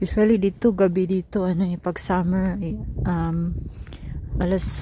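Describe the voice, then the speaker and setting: A woman with a Bisaya accent speaks at a moderate pace over noticeable background noise. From Philippines. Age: 40. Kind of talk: casual vlog talk while walking. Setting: outdoors.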